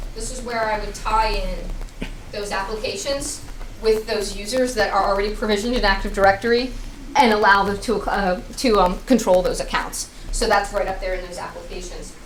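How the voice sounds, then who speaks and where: A woman speaks fairly quickly, her loudness swinging widely, with noticeable background noise and audible echo in the room. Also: fairly high pitch for a woman, ordinary pitch variation. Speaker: tech presenter. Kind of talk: tech talk with demo. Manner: fast.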